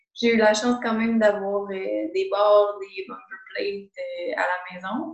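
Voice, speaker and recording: This woman speaks with a Quebec accent. Her pitch sits at a medium level. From Quebec, Montreal south shore. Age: 20s. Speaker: physiotherapist. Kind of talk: interview.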